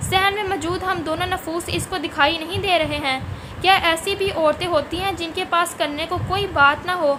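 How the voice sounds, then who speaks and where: The voice is raised and projected, with fairly even intonation. Noticeable background noise can be heard. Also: woman, extremely high pitch for a woman. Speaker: voiceover narrator. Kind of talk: urdu story narration.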